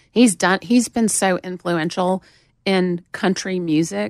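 A woman speaks with a Southern accent and ordinary pitch variation. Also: dry, close sound with no echo, very clean recording, silent background. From US South, Montgomery, Alabama. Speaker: record label general manager. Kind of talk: casual chat. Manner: drawn-out vowels.

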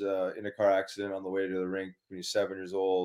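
This very clean recording has a silent background. A man with a Canadian prairie accent talks at a fairly quick pace and a fairly low pitch. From Winnipeg, Manitoba, Canada. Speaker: former pro hockey player, wellness advocate. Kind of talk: casual interview chat.

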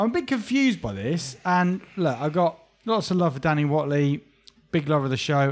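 Speaking fairly quickly with an English accent, a man uses a fairly high pitch and lively intonation while keeping his loudness very even. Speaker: boxing podcast host. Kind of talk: casual chat.

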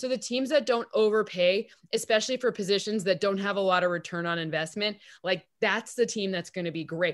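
A woman's normal speaking voice with an American accent, medium pitch and ordinary pitch variation at a fairly quick pace, on a very clean recording with a silent background. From Michigan, East Lansing. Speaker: football analytics expert. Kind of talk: casual interview.

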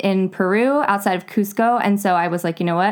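An unremarkable speaking voice from a woman with an American accent, medium in pitch with ordinary pitch variation, in a very clean recording with a silent background. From North Carolina. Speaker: acupuncturist. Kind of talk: casual interview chat.

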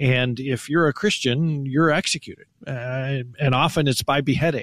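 A man speaks in a normal speaking voice, fairly high in pitch, with fairly even intonation. The recording is very clean and the background silent. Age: 50s. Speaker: ministry spokesperson. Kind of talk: radio interview.

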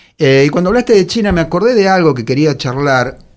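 At a fairly quick pace, a man speaks with very wide pitch swings on a very clean recording with a silent background. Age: 50s. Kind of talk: casual chat.

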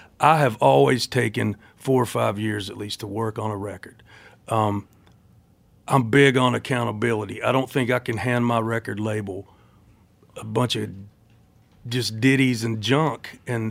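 Speaking with an American accent at medium pitch, a man keeps a moderate pace, uses ordinary pitch variation, swings widely in loudness and leaves long, frequent pauses. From Tennessee, US South. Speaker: country singer.

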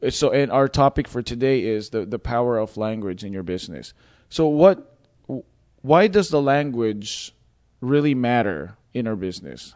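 This man speaks with an American accent at a medium pitch and a moderate pace, his intonation lively against a quiet background. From Philippines. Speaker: podcast host, wedding videographer. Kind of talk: casual interview chat. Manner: playful.

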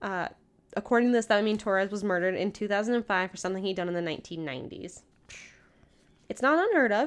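On a very clean recording with a silent background, a woman talks very fast at a medium pitch with ordinary pitch variation and long, frequent pauses. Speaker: true crime podcast co-host. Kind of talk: casual chat, storytelling a crime case. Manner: loud.

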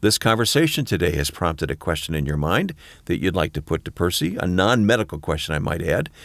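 Someone speaks in an American accent at a very fast pace with ordinary pitch variation. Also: man, very deep, low pitch for a man. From Michigan. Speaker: podcast co-host and announcer. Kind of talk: podcast conversation.

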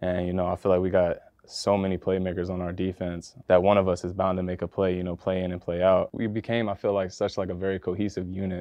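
A man with a very deep, low voice speaks in a flat monotone. His pace is very fast, with hardly any pauses. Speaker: football player. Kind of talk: interview.

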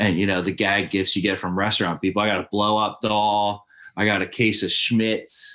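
A man with an American accent, fairly low pitch, bright and sharp tone, monotone and flat intonation, moderate pace, very even loudness. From suburbs of Philadelphia. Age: 30s. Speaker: lawn care business owner. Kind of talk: casual chat.

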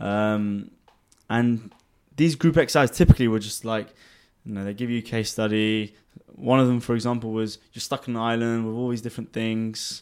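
This man speaks with a London accent at a fairly quick pace. His intonation stays fairly even. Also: medium pitch for a man, big swings in loudness. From England (London). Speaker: finance executive. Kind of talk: casual chat.

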